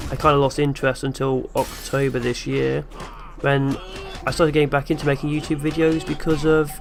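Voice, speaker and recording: A man speaks at a moderate pace and a fairly high pitch with fairly even intonation. Long, frequent pauses break up his speech over music in the background. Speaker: gaming youtuber. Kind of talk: vlog q and a. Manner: flat, low-energy.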